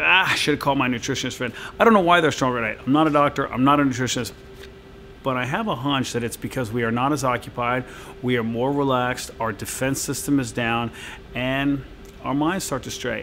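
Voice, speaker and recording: Light background noise sits behind a man talking at a very fast pace. His pitch variation is ordinary. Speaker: fitness trainer. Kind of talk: direct-to-camera Q&A advice. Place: gym.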